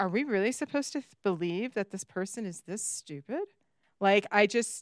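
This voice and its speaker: The woman has an unremarkable speaking voice at a medium pitch and moderate pace. The sound is dry and close, with no echo. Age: 50s. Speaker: podcast co-host. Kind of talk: casual chat.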